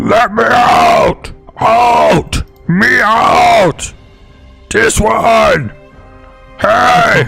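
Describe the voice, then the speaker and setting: With faint music in the background, a man does a put-on character voice at an extremely high pitch, speaking at a very slow pace with long, frequent pauses. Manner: desperate, shouting.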